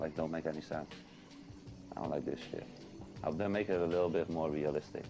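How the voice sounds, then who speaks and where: A man talks in a very deep, low pitch with ordinary pitch variation. Music plays in the background. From Netherlands. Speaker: gaming content creator. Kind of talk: podcast interview.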